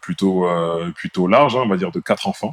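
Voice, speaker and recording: A dry, close sound with no echo carries this man's voice. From France, Bordeaux. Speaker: podcast co-host, IT engineer. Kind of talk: casual chat.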